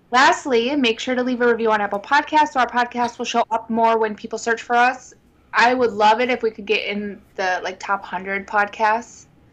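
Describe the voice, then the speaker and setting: A woman with a plain, everyday voice, fairly high in pitch, with ordinary pitch variation at a moderate pace, against a quiet background. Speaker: podcast co-host. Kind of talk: casual chat.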